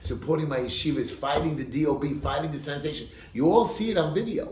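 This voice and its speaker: A man with an American accent speaks with very wide pitch swings. The audio carries audible room echo and noticeable background noise. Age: 50s. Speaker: political candidate. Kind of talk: campaign speech. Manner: animated.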